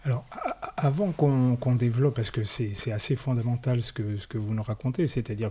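This man talks fairly quickly in a somewhat breathy voice, with ordinary pitch variation. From France, Paris suburbs. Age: 50s. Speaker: podcast host. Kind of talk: interview. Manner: hesitant, repeats words.

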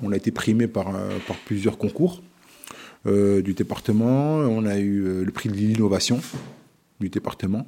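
A man talks at a fairly slow pace in a fairly low voice. His pitch varies in an ordinary way, with long, frequent pauses. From France, Vosges (Remiremont). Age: 40s. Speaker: show programmer and community organizer. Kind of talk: interview testimony. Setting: his production agency office. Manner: hesitant with fillers.

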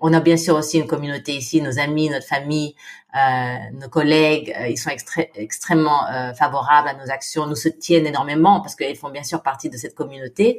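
Her voice is very deep and low in pitch, with big swings in loudness. The woman talks at a fairly quick pace. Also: ordinary pitch variation. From Philippines. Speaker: women's NGO founder. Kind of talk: interview. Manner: halting, many repetitions.

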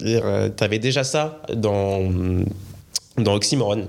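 Noticeable background noise sits behind the speaker. He is a man with a fairly low pitch and ordinary pitch variation. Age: 30s. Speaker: podcast co-host. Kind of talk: casual chat.

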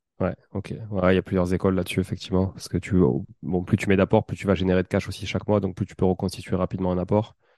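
Very deep and low, a man's dark, mellow voice races at a very fast pace in a flat monotone, recorded dry and close with no echo over a quiet background. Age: 30s. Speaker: podcast host and property investor. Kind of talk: casual interview.

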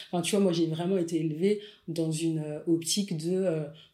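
Audible room echo surrounds a woman's fairly low voice. She speaks in a monotone with flat intonation. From Paris suburbs, France. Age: 40s. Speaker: photographer and content creator. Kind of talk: casual interview.

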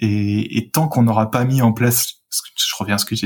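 The man's voice has a somewhat breathy quality. He talks at a moderate speed. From France, Rhône-Alpes (Saint-Étienne suburbs). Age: 30s. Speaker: local government climate strategy director. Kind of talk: interview.

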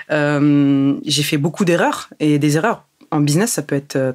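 Spoken at a fairly slow pace, the voice holds a very even loudness throughout. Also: woman. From Germany until age 8, then France. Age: young. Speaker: entrepreneur. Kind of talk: interview.

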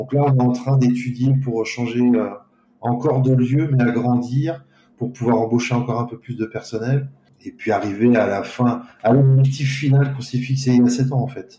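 At a moderate pace and medium pitch, a man speaks in a dark, mellow, somewhat breathy voice with monotone, flat intonation. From France. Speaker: pastry chef. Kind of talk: interview. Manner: hesitant. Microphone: poor sound quality.

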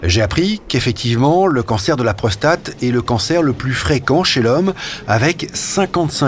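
Noticeable background noise sits behind a man speaking at a fairly slow pace. His pitch swings very widely. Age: 50s. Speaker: journalist presenting a health podcast. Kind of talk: scripted narration.

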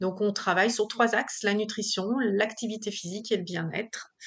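A woman talks in a fairly high pitch with ordinary pitch variation. The background is quiet. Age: 40s. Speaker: business owner. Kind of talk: interview. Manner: hesitant, many fillers.

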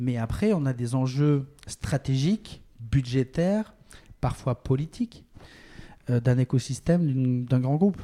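This man's voice has a dark, mellow tone and a fairly high pitch, with ordinary pitch variation and a fairly slow pace. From France, Bordeaux. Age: 40s. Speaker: tech entrepreneur. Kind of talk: interview. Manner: halting, many repetitions.

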